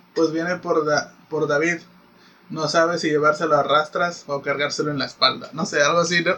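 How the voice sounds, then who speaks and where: With a Mexican accent, the speaker keeps a monotone, flat intonation at a moderate pace. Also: man, fairly high pitch for a man. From Mexico. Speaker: podcast co-host. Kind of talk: casual chat.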